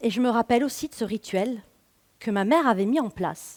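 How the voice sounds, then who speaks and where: In a regional French accent, a woman talks at a moderate pace. Her pitch is fairly high. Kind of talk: stage talk. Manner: casual, conversational.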